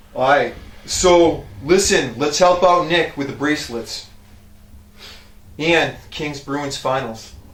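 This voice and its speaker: Very slowly, a man speaks with long, frequent pauses in a room with audible echo. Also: fairly high pitch for a man, ordinary pitch variation. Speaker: strength coach. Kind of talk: casual gym tutorial. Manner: casual, filler-heavy.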